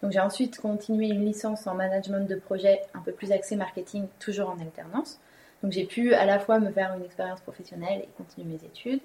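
Speaking at a very fast pace, a woman has a medium pitch and fairly even intonation. Her loudness swings widely. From Paris suburbs, France. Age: young. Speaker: apprentice winegrower, former marketing professional. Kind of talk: interview, personal story. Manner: hesitant, many fillers.

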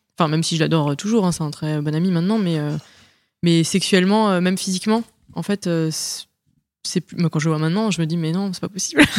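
A woman's fairly low voice at a very fast pace, with fairly even intonation, on a very clean recording with a silent background. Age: 30s. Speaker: guest sharing personal experience. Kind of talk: casual chat.

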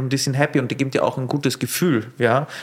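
A man speaks at a fairly high pitch with an Austrian accent. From Austria, rural Lower Austria. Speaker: sommelier and restaurateur. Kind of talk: casual interview. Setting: on location in a venue.

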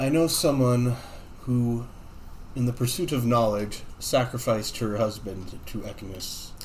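With a plain, everyday voice, a man speaks at a fairly slow pace and a medium pitch with ordinary pitch variation. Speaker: tabletop game player. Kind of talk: tabletop roleplaying podcast, in-character and banter.

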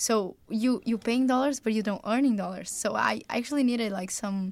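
The recording is very clean, with a silent background. A woman speaks at a fairly high pitch with fairly even intonation. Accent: Brazilian. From Brazil. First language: Portuguese. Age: young. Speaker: college tennis player. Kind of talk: casual chat.

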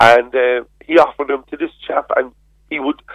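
A man speaks with a Cork accent at a medium pitch. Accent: Cork Irish. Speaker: politician. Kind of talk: radio interview.

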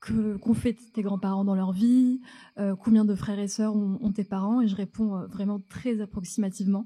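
On a very clean recording with a silent background, a woman with a fairly high, somewhat breathy voice and a dark, mellow tone speaks at a moderate pace with fairly even intonation. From France, North African family. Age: 30s. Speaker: storyteller on stage. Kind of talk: personal story told on stage. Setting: theatre stage with audience. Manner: halting, many repetitions.

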